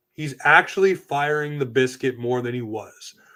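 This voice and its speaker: Speech comes at a moderate pace with an animated tone. There is a slight East Coast Canadian accent. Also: man. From Atlantic Canada. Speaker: sports podcast host. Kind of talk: casual chat.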